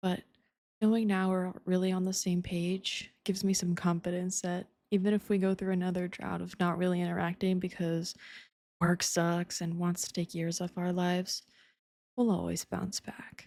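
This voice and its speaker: On a very clean recording with a silent background, a woman of medium pitch speaks at a moderate pace in a dark, mellow, gentle tone with monotone, flat intonation. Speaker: ASMR performer. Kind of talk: intimate ASMR girlfriend roleplay. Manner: soft, gentle, intimate.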